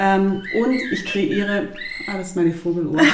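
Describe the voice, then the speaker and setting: A woman at medium pitch and moderate pace, with audible room echo and noticeable background noise. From southern Germany, Lake Constance area. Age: 30s. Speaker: physiotherapist. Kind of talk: casual interview. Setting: in person, recorded at her place.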